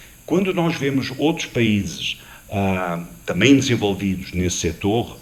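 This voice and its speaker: A man with a non-native accent at a moderate pace. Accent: foreign accent in Portuguese. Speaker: panel moderator, tourism executive. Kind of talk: panel discussion. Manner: hesitant, frequent 'ah' fillers.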